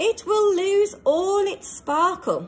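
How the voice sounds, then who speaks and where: A woman puts on a squeaky character voice at an extremely high pitch. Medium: read story.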